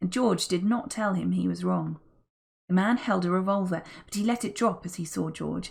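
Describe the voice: Someone reads the text aloud in a plain way, with a quiet background behind.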